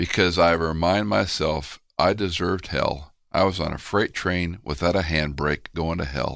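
A man's very deep, low voice with vocal fry and an American accent, fairly slow yet with hardly any pauses, on a very clean recording with a silent background. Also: ordinary pitch variation. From Houston, Texas. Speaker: pastor and Bible teacher. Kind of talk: interview conversation.

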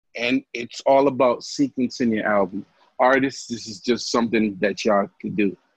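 A plain, everyday voice from a man at medium pitch, moderate pace and ordinary pitch variation, in a dry, close sound with no echo. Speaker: podcast host. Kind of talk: casual chat.

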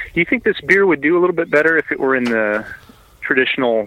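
A man's bright, sharp voice with an American accent, fairly quick, with ordinary pitch variation. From Indianapolis, US Midwest. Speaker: homebrewer submitting beer. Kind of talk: casual chat, getting beer feedback.

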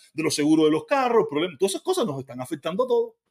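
Talking at a very fast pace, a man sounds animated, his pitch swinging very widely. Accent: Cuban. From Cuba. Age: 50s. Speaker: livestreamer. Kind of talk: live stream commentary.

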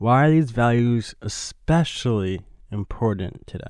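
Against a quiet background, a man with a New York accent speaks with ordinary pitch variation. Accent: New York American. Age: 20s. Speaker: shoe designer and film director. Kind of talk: casual chat. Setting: studio.

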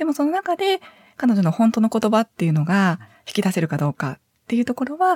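The somewhat breathy voice moves at a fairly quick pace with very wide pitch swings, recorded with a dry, close sound and no echo. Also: woman. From Hyogo, Kansai (Sanda, north of Kobe). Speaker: psychiatric social worker. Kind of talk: interview.

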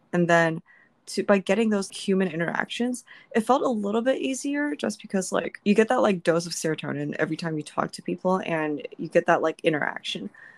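A woman at a medium pitch with a normal speaking voice, lively intonation and a fairly quick pace, in a dry, close sound with no echo. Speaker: podcast host. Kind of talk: casual chat.

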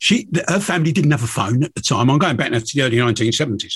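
A man in a southern English accent, fairly high-pitched, with lively intonation and a fairly quick pace. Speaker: podcast host, angler and fishing TV presenter. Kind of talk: casual chat. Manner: stammering repeats.

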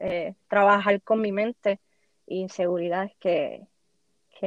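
A woman at a medium pitch, very slow in pace, with fairly even intonation. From Puerto Rico. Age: 20s. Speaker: podcaster. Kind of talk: interview.

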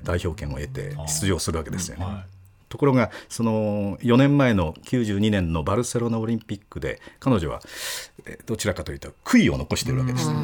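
A man talks at a fairly quick pace in a fairly low pitch with vocal fry. His pitch swings very widely, and the recording is very clean with a silent background. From Okayama, Japan. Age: 60s. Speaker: sports announcer. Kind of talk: casual chat.

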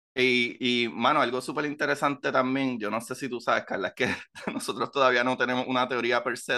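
Bright and sharp in tone, a man talks with fairly even intonation. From Puerto Rico. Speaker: science podcast host. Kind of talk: casual chat.

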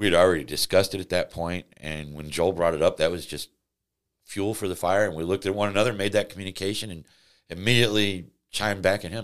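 Very fast speech in a Midwestern American accent, with big swings in loudness, in a very clean recording against a silent background. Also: man, very deep, low pitch for a man. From Missouri, St. Louis area. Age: 50s. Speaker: wrongfully convicted former prisoner. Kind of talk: interview.

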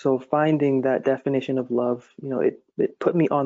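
At a moderate pace, a man with an American accent speaks in a normal speaking voice at medium pitch, with fairly even intonation. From Massachusetts. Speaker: poet and devotional author. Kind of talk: casual interview with poetry reading aloud.

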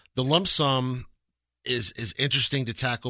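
Speaking at a moderate pace with an American accent, a man has a medium pitch and a bright, sharp tone, recorded dry and close with no echo on a very clean recording with a silent background. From Texas, Lubbock. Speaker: relocation business owner. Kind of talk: radio talk show interview. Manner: halting, many repeated words.

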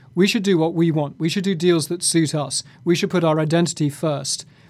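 A man talks with a British accent at a very fast pace. His pitch is high. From Britain (half English, half Scottish). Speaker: journalist, bureau chief. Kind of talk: interview analysis.

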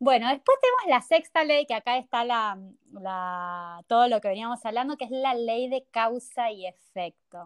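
Using a normal speaking voice, a woman with a fairly high pitch and lively intonation speaks at a fairly slow pace, the sound dry and close with no echo over a quiet background. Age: 30s. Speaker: spiritual workshop teacher. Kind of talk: interview.

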